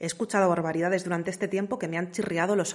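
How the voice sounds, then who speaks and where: A woman speaks in an ordinary speaking voice. Her pitch is fairly low and her intonation fairly even. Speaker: podcast host. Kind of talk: scripted monologue.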